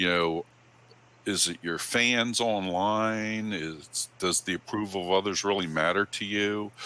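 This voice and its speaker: A man speaks with a booming, fairly low voice, a bright, sharp tone, fairly even intonation and a fairly slow pace. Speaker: photographer giving club talk. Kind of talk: presentation to camera club. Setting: live stream. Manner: casual, many fillers.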